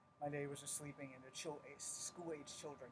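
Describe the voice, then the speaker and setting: A man speaks quietly in a fairly high voice. The sound is somewhat breathy. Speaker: martial arts instructor. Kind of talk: live-streamed tutorial. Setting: at home at night, live stream. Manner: kept quiet.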